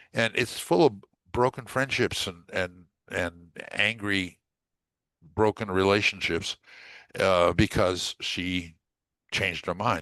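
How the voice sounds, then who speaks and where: In a dry, close sound with no echo and a quiet background, a man with a fairly low pitch and bright, sharp tone speaks very slowly with ordinary pitch variation and long, frequent pauses. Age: 70s. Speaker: college tutor. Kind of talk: casual chat. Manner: halting, many fillers.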